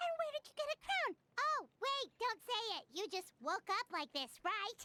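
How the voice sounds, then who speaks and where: Someone uses a squeaky, put-on character voice at an extremely high pitch, speaking at a moderate pace. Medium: video game. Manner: curious, inquisitive.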